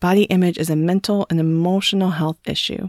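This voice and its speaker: A woman with a plain, everyday voice speaks at a moderate pace, fairly low in pitch with fairly even intonation. The recording is very clean, with a silent background. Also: dry, close sound with no echo. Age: 40s. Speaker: podcast host and self-worth coach. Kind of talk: solo podcast monologue.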